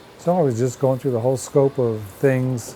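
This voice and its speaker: A man with an American accent talks at a fairly slow pace, his pitch varying in an ordinary way over noticeable background noise. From northern Pennsylvania (Sayre area). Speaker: folk artist. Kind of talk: documentary interview. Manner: hesitant, conversational.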